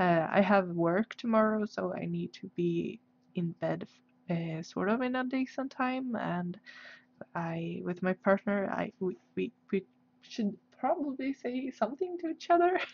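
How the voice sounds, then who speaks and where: A woman talks at a fairly slow pace with a Swedish accent. Her intonation is lively. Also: medium pitch for a woman. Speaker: artist livestreamer. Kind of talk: casual livestream chat. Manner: halting, many fillers.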